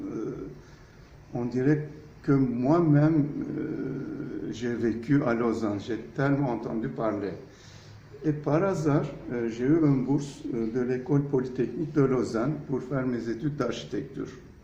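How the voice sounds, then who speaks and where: In a room with audible echo, a man of medium pitch talks at a fairly slow pace with ordinary pitch variation and long, frequent pauses. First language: Turkish (speaking French). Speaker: architect. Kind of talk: interview. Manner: hesitant, frequent fillers.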